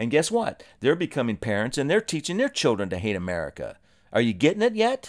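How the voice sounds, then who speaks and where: The voice has vocal fry and very wide pitch swings at a fairly quick pace. The recording is very clean with a silent background, dry and close with no echo. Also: man, fairly high pitch for a man. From Ohio. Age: 60s. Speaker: podcast host. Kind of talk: solo monologue podcast.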